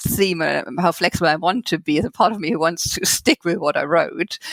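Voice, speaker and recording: Talking at a fairly quick pace, a woman with a German accent uses a fairly low pitch. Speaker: novelist. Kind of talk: interview. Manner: halting.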